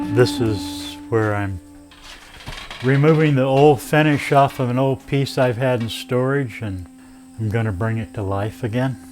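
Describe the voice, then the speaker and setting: A man's medium-pitched voice at a fairly slow pace, with music in the background. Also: ordinary pitch variation. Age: 60s. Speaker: wood sculptor. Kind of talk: personal reflection.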